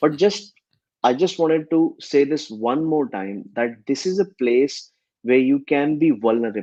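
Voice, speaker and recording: This man's voice is fairly high-pitched with a dark, mellow tone. He speaks fairly slowly, with lively intonation. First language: not English. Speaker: podcast co-host; solo digital agency owner. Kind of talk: casual podcast chat.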